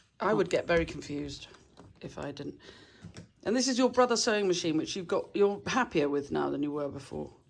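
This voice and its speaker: Heard on a very clean recording with a silent background, a woman with a fairly low pitch and vocal fry speaks at a fairly quick pace. Her pitch swings very widely and her loudness rises and falls sharply. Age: 50s. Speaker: channel host. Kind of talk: casual chat.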